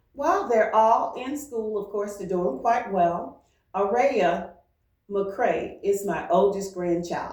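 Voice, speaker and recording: A woman at a very slow pace with ordinary pitch variation, amid audible room echo. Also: medium pitch for a woman. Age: 70s. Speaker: retired teacher. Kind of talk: interview.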